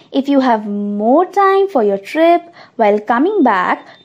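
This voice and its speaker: Her pitch is high for a woman. It swings very widely as she speaks. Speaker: podcast narrator. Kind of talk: scripted travel-guide narration. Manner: brisk, upbeat and promotional; informative and matter-of-fact when reading facts.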